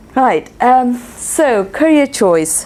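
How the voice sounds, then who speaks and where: A woman's voice over noticeable background noise. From India. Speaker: scientist, lecturer. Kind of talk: talk to an audience.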